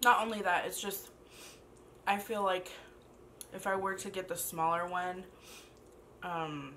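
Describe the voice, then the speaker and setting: Amid light background noise, a woman speaks at a fairly slow pace in a bright, sharp tone with monotone, flat intonation. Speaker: food vlogger. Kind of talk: casual vlog chat. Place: home room. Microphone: camera far.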